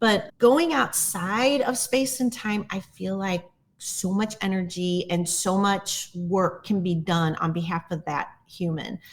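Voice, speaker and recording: A somewhat breathy woman's voice at medium pitch, very slow pace with hardly any pauses and ordinary pitch variation. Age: 60s. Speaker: plant medicine guide. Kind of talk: casual chat. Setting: podcast interview.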